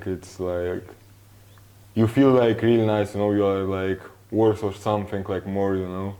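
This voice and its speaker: With a dark, mellow tone, this man talks fairly slowly in a fairly low pitch. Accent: Russian. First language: Russian. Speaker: professional footballer. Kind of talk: interview. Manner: halting.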